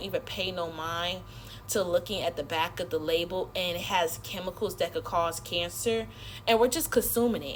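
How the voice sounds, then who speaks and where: Over noticeable background noise, a woman speaks in an animated tone at a fairly quick pace. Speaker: social media creator. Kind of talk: casual rant to camera. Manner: fast.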